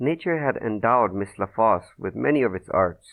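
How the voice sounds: Intonation here is lively. It comes from a natural reading voice.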